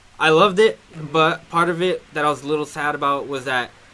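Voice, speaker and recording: Talking at a very fast pace, a man with a fairly high pitch and ordinary pitch variation comes through over noticeable background noise. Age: young. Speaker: comic book fan. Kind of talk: casual chat.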